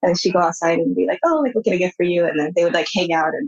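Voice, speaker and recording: In a Californian accent, a woman speaks at a very fast pace, the sound dry and close with no echo. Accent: Californian American English. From US, San Francisco Bay Area. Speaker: artist. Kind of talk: interview.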